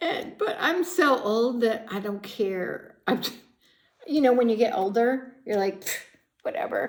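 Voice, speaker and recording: Speaking with an American accent, a woman with a high pitch uses an animated tone and lively intonation at a fairly slow pace. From Chicago. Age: 60s. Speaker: psychic tarot reader. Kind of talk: tarot reading monologue.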